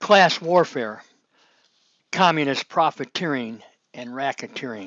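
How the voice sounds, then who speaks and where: This man speaks at a fairly slow pace. His pitch is fairly high and his intonation lively. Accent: American. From Chicago, US Midwest. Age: 60s. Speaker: political commentator. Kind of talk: online monologue. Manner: casual, rambling with fillers.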